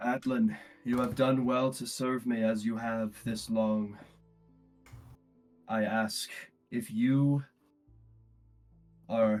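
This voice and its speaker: A booming, put-on character voice from a man, medium in pitch, very slow and fairly even in intonation, with faint music behind it. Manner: solemn, commanding.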